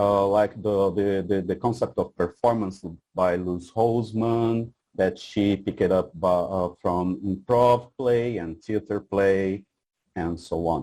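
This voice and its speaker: Speaking at a very slow pace, a man uses a fairly low pitch and fairly even intonation. His tone is dark and mellow. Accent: Portuguese. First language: Portuguese. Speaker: researcher. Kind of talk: conference presentation. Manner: halting, many fillers.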